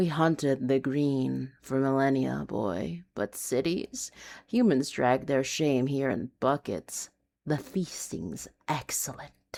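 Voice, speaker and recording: A put-on character voice at low-to-middle pitch, amused in tone and fairly slow, on a very clean recording with a silent background. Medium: read story. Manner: dark, knowing, amused.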